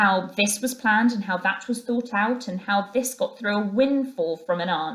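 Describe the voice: The speech is plain reading aloud. Pitch moves in an ordinary way.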